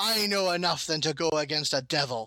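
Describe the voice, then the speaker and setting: A man puts on a growling character voice, fairly high in pitch. He moves at a fairly quick pace with ordinary pitch variation. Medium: actual play. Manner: bellowing, snarling.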